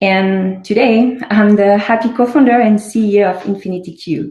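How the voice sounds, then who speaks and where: A woman's somewhat breathy, medium-pitched voice with a dark, mellow tone and a French accent, with audible room echo. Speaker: startup CEO. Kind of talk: conference talk.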